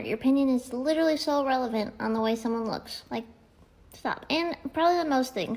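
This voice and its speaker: With ordinary pitch variation, a woman speaks at a fairly quick pace in a high voice. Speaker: social media creator. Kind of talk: casual vlog rant. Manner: casual, chatty, jokey. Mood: annoyed, ranting. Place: home room. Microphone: phone near.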